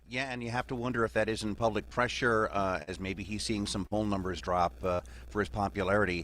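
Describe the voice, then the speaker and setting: Here is an ordinary speaking voice. Its intonation is lively and its pace fairly quick. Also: man, fairly low pitch for a man. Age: 60s. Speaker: journalist panelist. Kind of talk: radio roundtable discussion.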